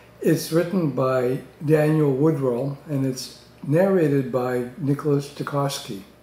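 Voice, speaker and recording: There is audible room echo as a man speaks at a fairly slow pace. His pitch shows ordinary variation. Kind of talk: book review talk to camera. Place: home room. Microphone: webcam.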